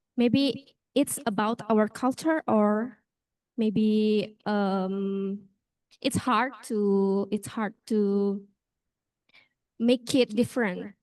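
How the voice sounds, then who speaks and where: A woman with a Balinese accent, fairly high in pitch, at a very slow pace with long, frequent pauses and fairly even intonation, in a dry, close sound with no echo and a quiet background. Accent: Balinese Indonesian. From Bali, Indonesia. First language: Indonesian or Balinese. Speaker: law student. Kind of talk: class discussion. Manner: halting.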